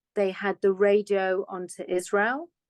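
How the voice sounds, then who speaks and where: A woman with a British accent speaks at a fairly slow pace and a medium pitch. The sound is dry and close, with no echo. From England (UK), London. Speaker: foundation director. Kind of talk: interview conversation.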